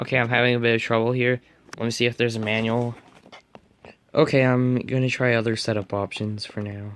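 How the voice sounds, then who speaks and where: A man's medium-pitched voice, fairly quick in pace, flat and monotone, with long, frequent pauses. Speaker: tech unboxing youtuber. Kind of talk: unboxing tutorial. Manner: casual, hesitant.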